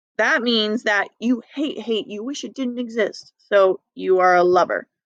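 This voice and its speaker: A woman with an unremarkable speaking voice and ordinary pitch variation comes through in a dry, close sound with no echo. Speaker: math teacher. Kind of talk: recorded lesson review.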